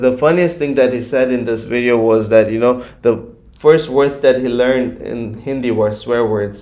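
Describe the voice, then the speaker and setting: A man with a Gujarati accent, medium pitch and a dark, mellow tone, at a moderate pace with hardly any pauses. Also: fairly even intonation. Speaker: YouTube reaction creator. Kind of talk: casual vlog commentary. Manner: hesitant, filler-heavy.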